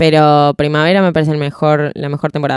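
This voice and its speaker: Heard with a dry, close sound and no echo, a woman speaks at a very deep, low pitch with a Rioplatense accent. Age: 20s. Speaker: radio and audiovisual producer. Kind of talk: casual chat.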